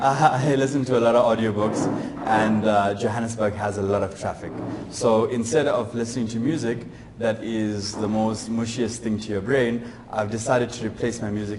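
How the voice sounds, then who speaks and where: A fairly quick, flat monotone voice carries over noticeable background noise and audible room echo. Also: man. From South Africa. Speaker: tech startup founder. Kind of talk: live interview on stage. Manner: fast.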